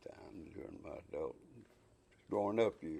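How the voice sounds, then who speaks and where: In a North Carolina accent, a man talks at a moderate pace. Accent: Southern US (North Carolina). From US South, Shelby, North Carolina. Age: 80s+. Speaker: retired textile businessman. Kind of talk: oral history interview. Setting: recorded interview in Casar, NC.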